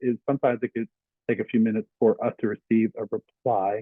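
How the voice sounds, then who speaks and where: A man talks fairly quickly, his pitch sitting in the medium range. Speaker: IT security instructor. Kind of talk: screen-recorded tutorial. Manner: fast; halting, many fillers.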